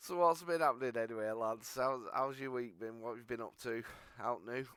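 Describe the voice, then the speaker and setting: A man with a northern English accent speaks at a fairly quick pace, with ordinary pitch variation. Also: medium pitch for a man. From northern England. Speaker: podcast co-host. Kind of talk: casual chat. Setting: live stream.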